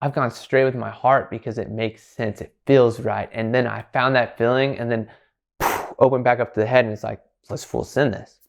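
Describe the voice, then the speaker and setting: A man speaks in a flat monotone. His voice has vocal fry. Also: medium pitch for a man, quiet background. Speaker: astrology content creator. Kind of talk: casual monologue. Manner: fast; loud, projected.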